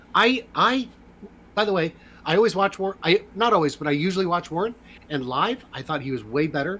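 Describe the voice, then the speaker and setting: A man's bright, sharp voice with very wide pitch swings at a fairly quick pace. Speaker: podcast co-host. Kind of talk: casual chat.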